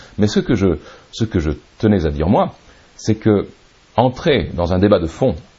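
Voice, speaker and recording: A man is speaking. His pace is moderate. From Serbia. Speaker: writer and publisher. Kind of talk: interview.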